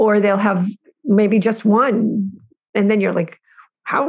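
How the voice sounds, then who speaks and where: A woman with a somewhat breathy, fairly high voice talks at a moderate speed. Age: 50s. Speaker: prison reform activist. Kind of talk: interview.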